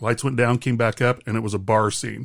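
A man with an unremarkable speaking voice talks at a moderate pace in a medium pitch, his intonation fairly even. The recording is very clean with a silent background and a dry, close sound with no echo. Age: 50s. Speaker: podcast co-host, parent of the other host. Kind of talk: casual chat.

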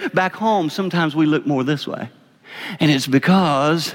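Over noticeable background noise, a man speaks with a Southern US accent. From South Carolina. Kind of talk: sermon-style talk with radio intro. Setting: chapel with audience.

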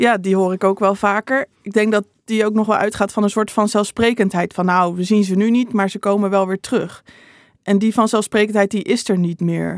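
With an ordinary speaking voice, a woman speaks at a moderate pace and medium pitch with fairly even intonation, on a very clean recording with a silent background and a dry, close sound with no echo. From Netherlands, Utrecht province (Bible Belt village). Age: 20s. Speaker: theology student and author. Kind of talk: interview.

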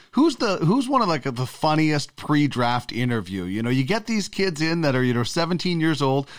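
An unremarkable speaking voice with a Canadian accent and lively intonation, on a very clean recording with a silent background. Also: man. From Brandon, Manitoba, Canada. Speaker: podcast host. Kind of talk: casual chat.

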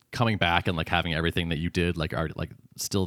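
Very fast and fairly even in intonation, the speech comes through a very clean recording with a silent background and a dry, close sound with no echo. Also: man. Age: 40s. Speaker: podcast co-host and startup founder. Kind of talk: casual chat.

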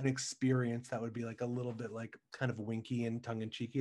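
A man speaks at a medium pitch in a monotone, flat delivery. His pace is very fast, with hardly any pauses. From Ohio, US. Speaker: Broadway actor. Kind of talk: casual interview chat.

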